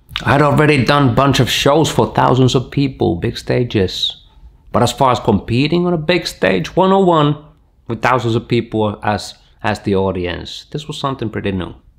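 Against a quiet background, the voice moves at a moderate pace with lively intonation. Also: man. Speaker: breakdance teacher. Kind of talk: storytelling vlog. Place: studio.

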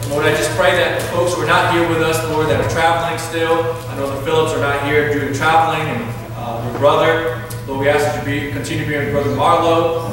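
A man at a fairly quick pace with fairly even intonation, strong room echo and noticeable background noise. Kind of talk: spoken prayer. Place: church. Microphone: camera far.

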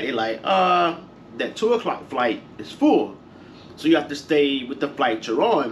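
With lively intonation and a moderate pace, a man's speech comes through light background noise. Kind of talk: casual vlog chat. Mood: frustrated, venting. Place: home room. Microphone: camera far.

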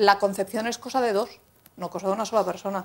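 A woman talking at a very fast pace. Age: 40s. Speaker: local politician. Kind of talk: TV panel debate. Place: studio. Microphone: lapel.

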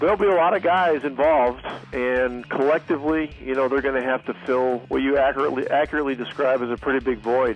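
Over faint background music, a man talks at a very fast pace with ordinary pitch variation, and the sound is dry with no echo. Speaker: basketball head coach. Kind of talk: interview answer. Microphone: phone line.

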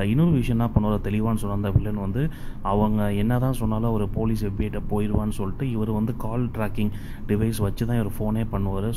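A man speaks in a plain, everyday voice. His pitch sits fairly low. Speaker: movie story narrator / voice-over reviewer. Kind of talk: movie story recap narration.

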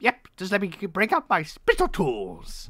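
There is a very clean recording with a silent background as a man talks. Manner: jolly, folksy, chatty.

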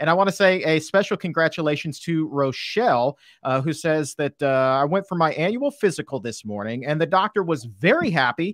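Against a quiet background with dry sound and no echo, a man with a high pitch speaks at a moderate pace in an animated, upbeat tone. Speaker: livestream host. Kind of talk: casual interview, live Q&A. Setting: online livestream. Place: studio. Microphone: studio mic.

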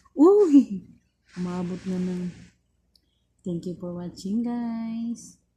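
Very slow and marked by long, frequent pauses, a woman's somewhat breathy voice sits at a medium pitch with a dark, mellow tone. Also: ordinary pitch variation. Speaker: vlogger. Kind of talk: casual vlog. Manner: halting, many fillers.

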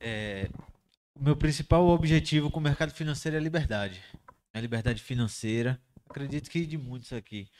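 A man talks at a fairly quick pace with ordinary pitch variation, taking long, frequent pauses. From Bahia, Brazil. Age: 20s. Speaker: forex trader. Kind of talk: casual group chat. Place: home room. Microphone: handheld.

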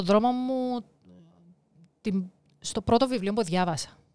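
A speaker with a Cypriot accent talks at a moderate pace. The pitch varies in an ordinary way. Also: woman. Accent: Cypriot Greek. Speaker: life coach and author. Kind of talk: interview.

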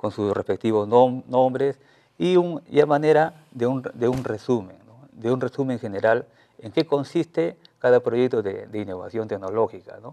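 With a dark, mellow tone, a man speaks at a moderate pace with big swings in loudness over a quiet background. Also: ordinary pitch variation. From Peru, La Libertad (Trujillo area); La Libertad, Peru. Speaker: teacher and innovation researcher; interviewee. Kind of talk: TV news interview. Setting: TV studio. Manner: halting, many fillers and repetitions. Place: studio. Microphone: lapel.

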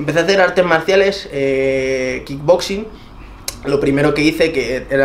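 There is light background noise behind this man. He speaks with ordinary pitch variation. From Spain. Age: 20s. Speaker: fitness YouTuber. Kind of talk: interview. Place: home room.

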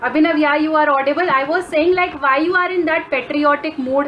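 A woman speaks in a high voice at a moderate pace with fairly even intonation. Light background noise can be heard. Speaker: online class teacher. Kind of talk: casual class chat. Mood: friendly, light teasing. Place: home room. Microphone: video call.

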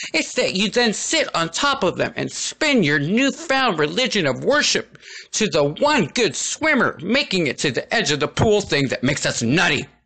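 A man with a high, bright and sharp voice projects it at a moderate pace, keeping his loudness very even while his pitch swings very widely. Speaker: writer reading own article. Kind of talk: humorous reading of own written piece.

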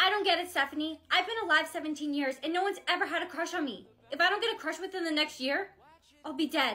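A woman speaks in a raised, projected voice with a bright, sharp tone. Her pace is very fast, and her pitch moves in an ordinary way. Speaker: skit creator playing characters. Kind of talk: acted comedy skit dialogue. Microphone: phone near.

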